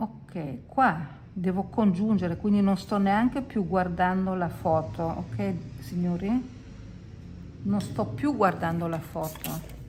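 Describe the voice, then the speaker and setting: With vocal fry and audible room echo, the speaker goes at a very slow pace, leaving long, frequent pauses. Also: woman, fairly low pitch for a woman, lively intonation. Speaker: watercolour teacher. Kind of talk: tutorial. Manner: casual, chatty.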